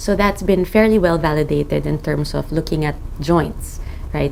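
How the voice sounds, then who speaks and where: Background noise can clearly be heard. Over it, a woman talks at a medium speed. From Philippines. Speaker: rheumatologist. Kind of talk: interview monologue.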